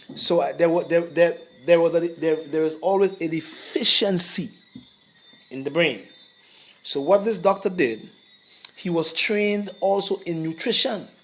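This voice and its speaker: A man talks at a moderate pace in a high pitch, with ordinary pitch variation. His speech has long, frequent pauses, and background noise is noticeable. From Grenada. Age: 60s. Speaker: herbalist. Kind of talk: interview. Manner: halting.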